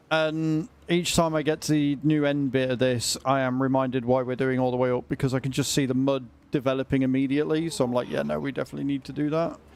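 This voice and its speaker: A man's very fast, medium-pitched speech with a British accent, fairly even intonation and hardly any pauses. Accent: British, drops t sounds. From Britain. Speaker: gaming streamer. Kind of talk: casual livestream gameplay chat.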